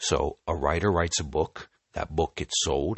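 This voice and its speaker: This man has a very deep, low pitch with vocal fry. His intonation is lively. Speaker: crypto community podcaster. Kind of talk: solo monologue podcast. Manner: hesitant with many fillers.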